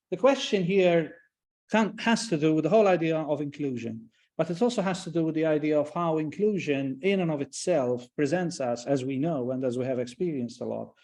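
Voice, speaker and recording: Lively intonation marks a man's fairly high-pitched voice. He talks at a fairly quick pace over a quiet background. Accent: Maltese. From Malta. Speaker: professor. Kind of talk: lecture. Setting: online event. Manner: halting, many repetitions and fillers.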